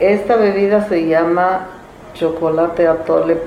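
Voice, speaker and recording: Amid audible room echo and noticeable background noise, a woman with a fairly low pitch speaks at a fairly slow pace with fairly even intonation. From Zimatlán de Álvarez, Oaxaca, Mexico. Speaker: traditional cook. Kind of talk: interview, explaining a recipe.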